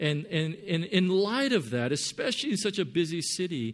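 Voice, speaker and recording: A man with a Californian accent speaks with very wide pitch swings. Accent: Californian American English. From Southern California. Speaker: pastor. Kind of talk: sermon. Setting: church. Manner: halting, many fillers.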